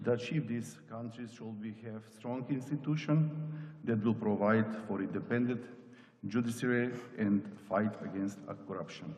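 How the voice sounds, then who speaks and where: A man talks at a moderate pace and medium pitch, with ordinary pitch variation and big swings in loudness. Long, frequent pauses break up his speech, and the room echo is audible. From North Macedonia. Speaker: parliamentarian. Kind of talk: conference speech. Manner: formal.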